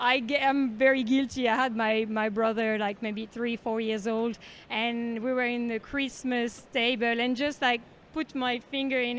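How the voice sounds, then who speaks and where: A woman speaks with a French accent in a high pitch. Her intonation is fairly even and her pace moderate. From France, Bordeaux countryside. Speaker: wine professional. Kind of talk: casual street interview. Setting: underground train station.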